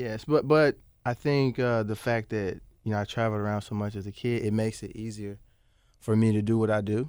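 With an American accent, a man talks at a fairly quick pace in a fairly low pitch, his intonation fairly even, a plain, everyday voice. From US South (Arkansas, then Memphis, Tennessee from age 13). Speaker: aircraft mechanic and training pilot. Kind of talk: casual interview. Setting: studio.

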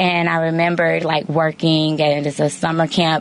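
Her pitch is very deep and low, and this woman keeps her intonation fairly even. Noticeable background noise runs beneath her voice. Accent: American. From Chicago area, Illinois. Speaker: nonprofit education executive. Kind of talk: interview.

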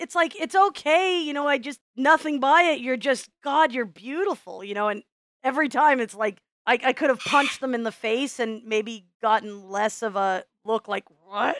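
Spoken at a moderate pace with lively intonation and a Midwestern American accent, the voice sounds dry and close with no echo on a very clean recording over a silent background. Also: woman, high pitch for a woman. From US Midwest. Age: 40s. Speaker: podcast co-host and teacher. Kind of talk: casual chat.

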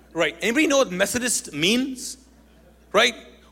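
With a raised, projected voice, a man speaks at an extremely high pitch, his tone bright, sharp and animated and his intonation lively. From Kuwait, Pakistani family. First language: Urdu. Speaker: pastor, guest preacher. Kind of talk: sermon. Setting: church with congregation.

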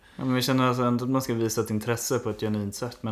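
The man talks at a very fast pace in a monotone, flat delivery. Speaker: podcast co-host. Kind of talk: casual chat.

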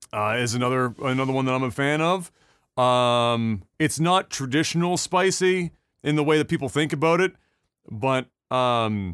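Over a silent background in a very clean recording, a man with an unremarkable speaking voice talks at a moderate pace, his fairly high pitch showing ordinary variation. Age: 30s. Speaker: video game podcast host. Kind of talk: casual chat.

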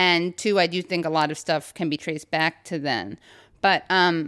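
A woman with an American accent has a normal speaking voice and a fairly low pitch, talking at a moderate pace with ordinary pitch variation. The recording is very clean, with a silent background. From New York City, Upper West Side. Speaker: podcast host and comedian. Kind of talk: casual interview chat. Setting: at her parents' home.

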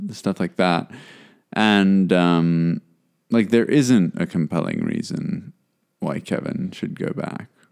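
A man speaks at a very slow pace, with long, frequent pauses. The recording is very clean, with a silent background. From South Africa. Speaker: podcast host. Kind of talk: casual chat.

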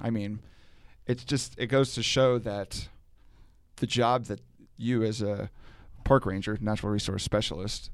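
A man speaks in a plain, everyday voice at a medium pitch and a moderate pace. His intonation is fairly even, on a very clean recording with a silent background. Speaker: podcast host. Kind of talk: casual interview chat. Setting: outdoors at a lake park.

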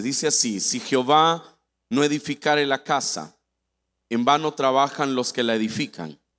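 In a very clean recording with a silent background, a man with a medium-pitched voice speaks fairly slowly in an animated tone, his pitch varying in an ordinary way. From Mexico, Veracruz. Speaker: guest preacher. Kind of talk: sermon. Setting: church with congregation.

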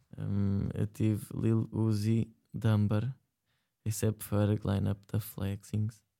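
A man with a European Portuguese accent speaks at a very slow pace with a fairly low pitch, a dark, mellow tone, monotone, flat intonation and very even loudness. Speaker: online radio show co-host. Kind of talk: casual chat.

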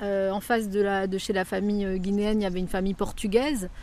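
With a dark, mellow tone, a woman talks in a medium pitch. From France, Évreux (Normandy). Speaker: author and theatre director. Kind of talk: interview. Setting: on location outdoors in neighbourhood. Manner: halting.

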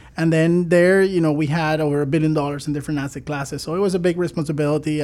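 A man with a Spanish accent speaks at a very fast pace. His fairly high voice stays monotone and flat. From Venezuela. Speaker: fintech CEO. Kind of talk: radio interview. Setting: radio studio.

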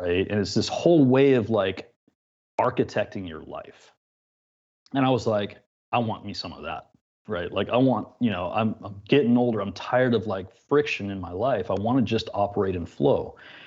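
With an ordinary speaking voice, a man of fairly low pitch speaks at a moderate pace, his loudness swinging widely against a quiet background. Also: ordinary pitch variation. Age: 50s. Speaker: concrete artisan and educator. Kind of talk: casual chat.

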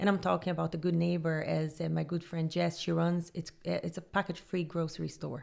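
A woman talks at a fairly quick pace. She speaks with a Brazilian accent. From Brazil, Rio de Janeiro. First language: Portuguese. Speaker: sustainability business founder and consultant. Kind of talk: interview.

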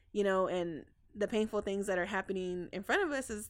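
A woman's medium-pitched voice with an American accent, at a moderate pace with fairly even intonation. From Texas. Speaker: community outreach coordinator. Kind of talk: casual interview. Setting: studio. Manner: halting.

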